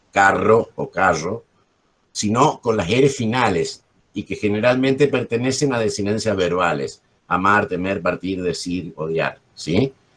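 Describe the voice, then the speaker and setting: Lively in intonation, a man speaks at a fairly low pitch and a fairly slow pace. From Argentina, Corrientes. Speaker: journalist and literature teacher. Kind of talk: workshop teaching.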